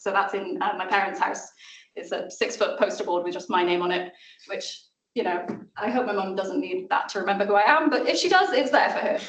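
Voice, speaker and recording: With a South Welsh accent, the speaker talks at a fairly quick pace with ordinary pitch variation, and audible room echo can be heard. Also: woman, medium pitch for a woman. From Wales (South Wales). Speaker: maths lecturer and communicator. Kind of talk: seminar talk. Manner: casual.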